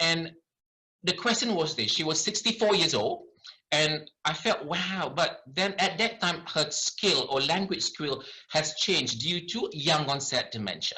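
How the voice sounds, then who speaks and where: A man with a Malaysian accent and a high pitch speaks at a fairly slow pace with lively intonation and very even loudness. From Malaysia, later Ireland. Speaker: doctor. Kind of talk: lecture.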